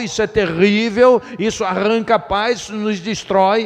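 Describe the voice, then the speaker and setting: Noticeable background noise sits under speech delivered fairly slowly. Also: man. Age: 60s. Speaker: pastor. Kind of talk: sermon.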